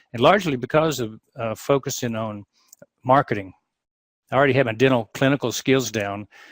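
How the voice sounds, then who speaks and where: Talking at a fairly quick pace yet with long, frequent pauses, a man uses a medium pitch and ordinary pitch variation, in a dry, close sound with no echo. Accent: Southern US. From US South, Atlanta, Georgia. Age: 60s. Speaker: dentist and practice consultant. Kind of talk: podcast interview.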